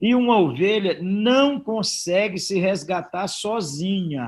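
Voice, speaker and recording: Against a quiet background, a man with a high pitch speaks with ordinary pitch variation. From Brazil, northern Minas Gerais. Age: 60s. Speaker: pastor. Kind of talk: sermon-style conversational talk. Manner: animated, informal.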